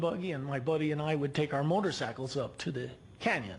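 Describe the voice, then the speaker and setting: Audible room echo around a man's fairly high voice, fairly quick in pace, with ordinary pitch variation. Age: 60s. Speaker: local resident speaking at public comment. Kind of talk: public comment at city council. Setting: city council meeting. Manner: halting, many repeated words.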